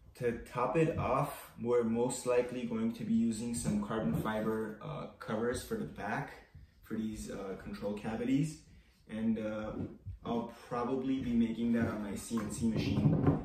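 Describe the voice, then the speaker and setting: At a fairly slow pace, a man speaks with audible room echo and light background noise. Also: ordinary pitch variation. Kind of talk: casual tutorial vlog chat. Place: workshop. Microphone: camera far.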